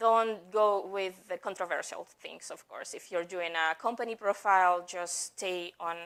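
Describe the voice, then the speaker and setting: At a medium pitch, a woman talks at a moderate pace. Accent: non-native. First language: not English. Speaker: marketing executive. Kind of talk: conference talk. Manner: halting.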